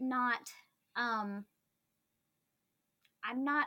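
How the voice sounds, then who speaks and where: The voice is raised and projected, with a bright, sharp tone. It moves at a very slow pace with ordinary pitch variation. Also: woman. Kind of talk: casual chat.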